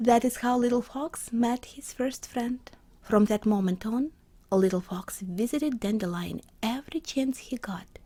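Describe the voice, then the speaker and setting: A woman with a non-native accent speaks fairly slowly in a fairly high, somewhat breathy voice with a dark, mellow tone and ordinary pitch variation. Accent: non-native, imperfect pronunciation. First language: not English. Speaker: storyteller and illustrator. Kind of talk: reading aloud a children's story.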